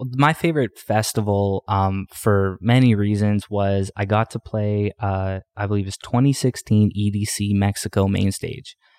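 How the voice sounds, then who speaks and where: With a Canadian accent, a man with an ordinary speaking voice and a fairly low pitch speaks fairly slowly with fairly even intonation, in a dry, close recording with no echo. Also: very clean recording, silent background. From Canadian prairies. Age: 20s. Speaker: dance music artist. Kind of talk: casual interview chat.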